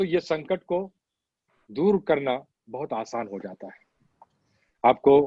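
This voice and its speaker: With lively intonation and a fairly high pitch, a man speaks in a dry, close sound with no echo. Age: 60s. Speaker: doctor. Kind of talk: health advice talk.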